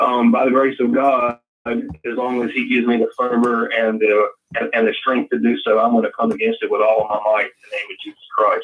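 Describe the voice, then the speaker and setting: The speaker has a strong Southern US accent. The pace is fairly quick. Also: man. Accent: deep Southern US. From Louisiana. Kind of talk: casual chat.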